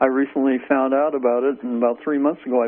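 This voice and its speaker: Fairly even intonation in a plain, everyday voice. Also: man. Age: 60s. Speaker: caller. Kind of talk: radio call-in question.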